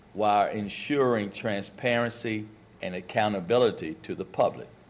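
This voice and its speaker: A man speaks at a fairly slow pace with a fairly low pitch. He has an ordinary speaking voice. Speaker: interview panel member. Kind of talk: formal interview questioning.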